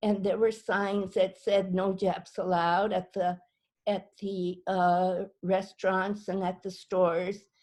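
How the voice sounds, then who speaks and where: In a very slow pace, a woman speaks at a medium pitch over a quiet background. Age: 80s. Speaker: Japanese American incarceration survivor. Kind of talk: personal testimony. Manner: halting, many fillers and repetitions.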